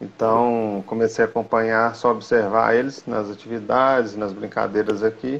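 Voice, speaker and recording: At a moderate pace, a man talks in a medium pitch with an ordinary speaking voice. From Minas Gerais, Brazil (Belo Horizonte). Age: 40s. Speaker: football referee and nurse. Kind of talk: interview, casual chat. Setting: video call.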